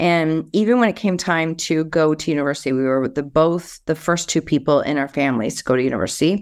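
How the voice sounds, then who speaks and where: A woman with a slight Canadian accent speaks at a very fast pace, with hardly any pauses, in a very deep, low pitch and ordinary pitch variation. The recording is very clean, with a silent background. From Canada. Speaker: speaker, author and coach. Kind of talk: casual interview chat.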